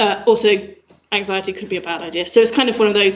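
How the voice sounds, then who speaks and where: There is audible room echo as a woman speaks at medium pitch with fairly even intonation. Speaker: user researcher. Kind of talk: conference talk. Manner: hesitant, many fillers.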